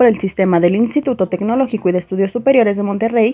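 With lively intonation and a fairly high pitch, a woman speaks in an unremarkable speaking voice. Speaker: special education graduate. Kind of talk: scripted narration.

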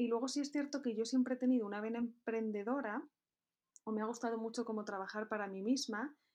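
Her words come out very rapidly. This woman's voice sits fairly high. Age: 20s. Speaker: entrepreneur. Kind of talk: interview.

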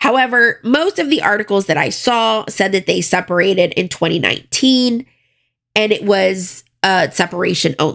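A woman with an American accent uses a plain, everyday voice at a medium pitch, with lively intonation, a moderate pace, and very even loudness. The recording is very clean with a silent background. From US South, Florida (Broward County). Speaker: true crime podcaster. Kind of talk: casual solo narration with commentary. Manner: conversational, informal.

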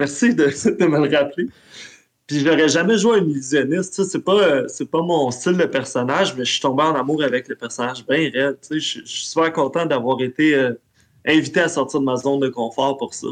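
A man with a Quebec accent speaks at a moderate pace in a fairly high voice. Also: ordinary pitch variation. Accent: Québécois French. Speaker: role-playing game player. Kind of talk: casual chat.

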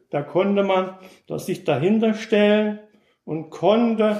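A man's high-pitched voice with audible echo from the room. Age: 60s. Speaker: former East German dissident, contemporary witness. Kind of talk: explanatory lecture.

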